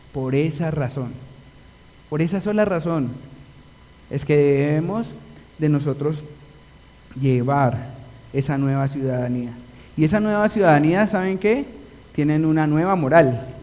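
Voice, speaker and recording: A man with a Colombian accent, fairly high in pitch with ordinary variation, at a fairly slow pace with long, frequent pauses, in audible room echo. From Colombia (Antioquia, paisa region). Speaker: pastor. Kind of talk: sermon. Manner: animated.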